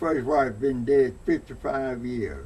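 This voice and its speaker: The voice has an Alabama accent and a dark, mellow tone, somewhat breathy with fairly even intonation. It moves at a very slow pace amid audible room echo. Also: man. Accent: Southern US (Alabama). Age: 90s. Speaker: elderly interviewee. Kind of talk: oral history interview. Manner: halting.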